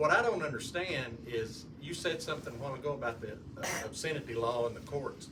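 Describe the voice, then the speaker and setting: A man with a Southern US accent speaks fast-ish and fairly high-pitched, with lively intonation and hardly any pauses. Audible room echo and noticeable background noise are present. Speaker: audience member asking a question. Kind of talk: question from the floor. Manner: loud.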